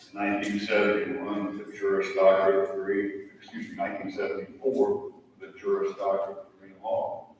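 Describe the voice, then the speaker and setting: A man with an American accent talks at a moderate pace. Room echo is audible. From US Midwest, southern Illinois. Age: 70s. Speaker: lawyer and hall of fame committee member. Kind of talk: ceremony speech.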